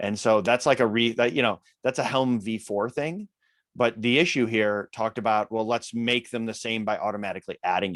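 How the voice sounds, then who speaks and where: A man's medium-pitched voice with a Midwestern US accent, fairly even intonation, and a dry, close sound with no echo. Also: fairly quick pace. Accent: Midwest US. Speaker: open-source software maintainer. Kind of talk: technical meeting discussion.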